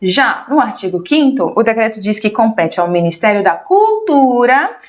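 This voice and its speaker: At a moderate pace, a woman with a fairly high pitch and lively intonation talks in a plain, everyday voice. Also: very even loudness. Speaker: teacher. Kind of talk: lecture. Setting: livestream.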